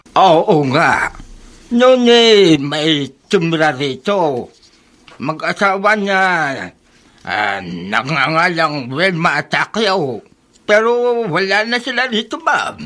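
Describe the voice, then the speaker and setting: A put-on character voice sits at a middle pitch and moves at a very slow pace. Long, frequent pauses break up the delivery. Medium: old radio play. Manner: blunt.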